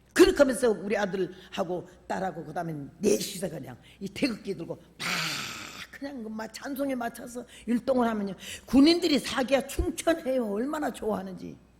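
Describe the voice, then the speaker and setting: A woman speaks at a fairly high pitch with very wide pitch swings. Her pace is fairly quick, and her loudness swings a lot. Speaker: preacher. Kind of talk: sermon. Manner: animated.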